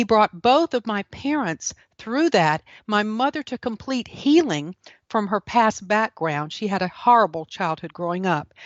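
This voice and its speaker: A woman in a Southern US accent, fairly high in pitch, at a fairly slow pace with very wide pitch swings. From South Carolina. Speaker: author and speaker. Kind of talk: testimony.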